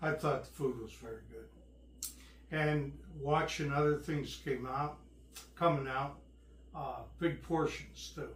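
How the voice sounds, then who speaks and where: With long, frequent pauses, a man speaks at a very slow pace amid audible room echo. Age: 70s. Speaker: host's father, travel companion. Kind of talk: casual chat.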